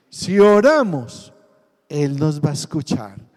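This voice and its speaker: A man with a dark, mellow tone talks at a very slow pace, his pitch swinging very widely. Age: 60s. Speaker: pastor. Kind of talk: sermon.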